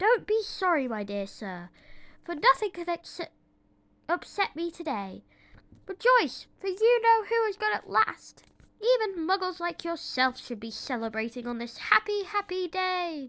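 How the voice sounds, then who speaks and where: A woman projects a raised, squeaky put-on character voice at an extremely high pitch. Her pitch swings very widely. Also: moderate pace. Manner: delighted, jubilant.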